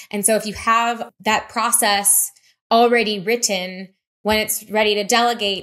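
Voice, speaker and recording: A woman's voice with a bright, sharp tone. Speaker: business marketing youtuber. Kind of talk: tutorial.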